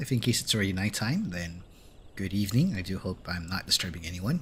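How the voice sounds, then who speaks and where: Amid noticeable background noise, a man speaks at a fairly quick pace with very wide pitch swings. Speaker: vtuber streamer. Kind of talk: casual gaming livestream chat. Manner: hesitant, many fillers.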